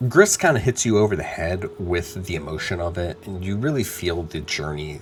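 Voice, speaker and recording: A man with an American accent talks at a fairly quick pace with lively intonation as music plays in the background. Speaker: video game reviewer. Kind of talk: video review. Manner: casual, conversational.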